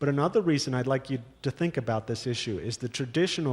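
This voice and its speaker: A man with a New York accent talks at a fairly quick pace and medium pitch, with ordinary pitch variation. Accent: New York American English. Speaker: paleontology professor. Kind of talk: panel discussion answer. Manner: fast.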